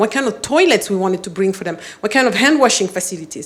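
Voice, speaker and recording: A woman with a fairly high pitch and ordinary pitch variation talks at a very fast pace over noticeable background noise. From Mali, West Africa. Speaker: public health expert and former business executive. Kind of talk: motivational talk.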